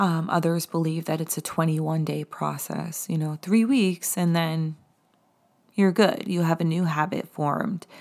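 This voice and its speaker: The speaker has an American accent and talks at a moderate pace with ordinary pitch variation. The recording is very clean, with a silent background. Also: woman, fairly low pitch for a woman. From US Northeast, the Hamptons, Long Island NY. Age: 40s. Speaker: podcast host, spiritual coach. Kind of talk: casual solo podcast talk. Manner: casual, halting with fillers and laughs.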